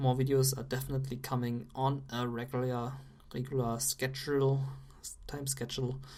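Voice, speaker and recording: The speech moves at a moderate pace with fairly even intonation and audible room echo. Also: woman. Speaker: game caster. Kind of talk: live commentary.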